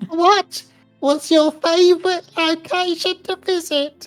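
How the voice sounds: Over music in the background, a put-on, squeaky character voice at an extremely high pitch speaks at a fairly slow pace.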